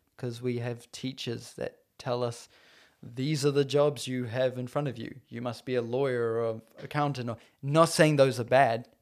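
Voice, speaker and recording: Delivered at a moderate pace in a New Zealand accent, the voice stays monotone and flat in intonation while swinging widely in loudness. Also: man, medium pitch for a man. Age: 20s. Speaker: filmmaker. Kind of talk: casual chat. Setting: host's living room.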